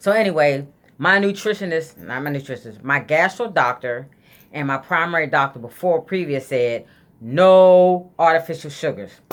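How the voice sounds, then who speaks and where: Her pitch very deep and low, a woman speaks with lively intonation. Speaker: vlogger sharing weight loss surgery journey. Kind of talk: casual vlog monologue. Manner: fast.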